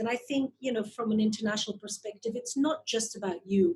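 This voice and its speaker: A somewhat breathy voice with a dark, mellow tone. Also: woman. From Belgium (Flanders). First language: Flemish (Dutch). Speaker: investor and marketing advisor. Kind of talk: interview.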